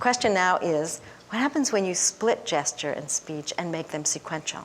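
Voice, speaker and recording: A woman's medium-pitched voice moves through very wide pitch swings. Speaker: developmental psychologist. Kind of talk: lecture. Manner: fast.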